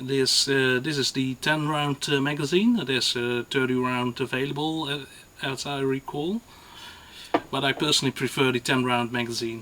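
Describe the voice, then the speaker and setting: There is noticeable background noise as a man talks at a moderate pace. His pitch is medium and his intonation fairly even. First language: not English. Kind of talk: gun review to camera. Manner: hesitant, many fillers.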